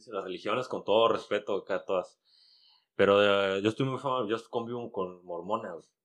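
In a Mexican accent, a man speaks at a moderate pace with fairly even intonation over a quiet background. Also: medium pitch for a man. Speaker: comedian. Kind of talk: casual chat.

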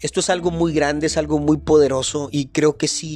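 A man's fairly high, flat, monotone voice at a fairly quick pace amid noticeable background noise. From northern Mexico, Chihuahua. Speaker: podcast host. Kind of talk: motivational monologue.

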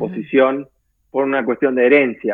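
A man at a moderate pace. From Garín, Escobar, northern Buenos Aires, Argentina. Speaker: expatriate interviewee. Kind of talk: casual interview. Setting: video call. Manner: hesitant, many fillers.

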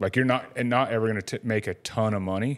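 Heard on a very clean recording with a silent background, a man with an unremarkable speaking voice and fairly low pitch speaks at a moderate pace with fairly even intonation. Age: 40s. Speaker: podcast host, motorcycle shop owner. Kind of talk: casual chat. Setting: studio.

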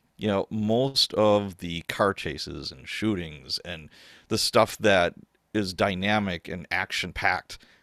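A man with an American accent speaks at a fairly low pitch with a bright, sharp tone and ordinary pitch variation, in a very clean recording with a silent background and a dry, close sound with no echo. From US Midwest, Chicago South Side and Wisconsin. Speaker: author and former police officer. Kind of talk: casual chat.

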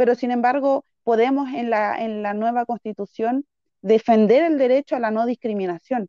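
A woman with a normal speaking voice, fairly high in pitch. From Chile (Santiago), arrived at age three. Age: 30s. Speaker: political candidate and teacher. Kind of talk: interview.

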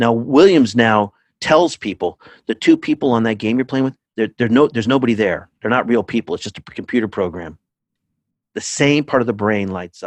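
A man speaks in a normal speaking voice with an American accent, at medium pitch and with ordinary pitch variation. His pace is fairly quick, and the sound is dry and close, without echo. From California. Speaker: psychotherapist and author. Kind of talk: interview conversation.

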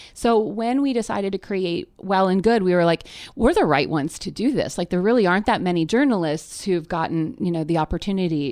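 Against a quiet background, a woman with a normal speaking voice and fairly low pitch talks at a moderate pace with lively intonation. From Canada, near Toronto. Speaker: media entrepreneur and editor. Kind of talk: casual interview. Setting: in person, face to face.

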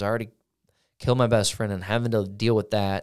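Very fast speech in an American accent comes through on a very clean recording with a silent background. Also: man. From US Midwest (Granite City, Illinois / St. Louis area). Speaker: recovery director and musician, former prisoner. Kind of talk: casual chat.

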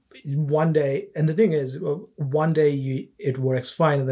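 This man's voice is fairly high-pitched and somewhat breathy, with fairly even intonation. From India. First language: not English. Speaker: game developer. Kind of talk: casual chat.

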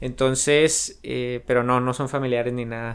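A man at a medium pitch, fairly slow in pace, with fairly even intonation. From Mexico, San Luis Río Colorado, Sonora. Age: 20s. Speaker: entrepreneur and podcast host. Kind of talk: podcast monologue.

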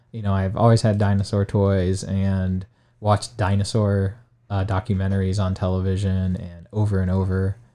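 A man with a Midwestern American accent speaks at a moderate pace over a quiet background. His fairly low voice has a dark, mellow tone and a monotone, flat intonation. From Ohio, Stark County. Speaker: high school science teacher. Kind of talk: interview. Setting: studio.

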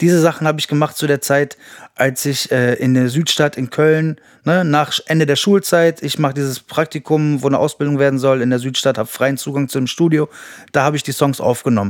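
A normal speaking voice moves at a fairly quick pace with fairly even intonation, on a very clean recording with a silent background. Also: man, fairly high pitch for a man. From Berlin, then Düren (Rhineland). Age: 40s. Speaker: rapper. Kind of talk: casual chat.

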